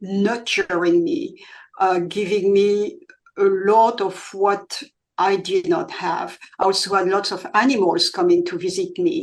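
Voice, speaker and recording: Lively intonation marks this woman's normal speaking voice, set at a medium pitch. Her pace is fairly slow. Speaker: author. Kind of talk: interview answer.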